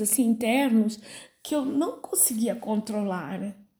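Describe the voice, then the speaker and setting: At a very slow pace, a woman speaks with a fairly high pitch and a dark, mellow tone. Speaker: pastor. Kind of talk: sermon. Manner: halting, many fillers.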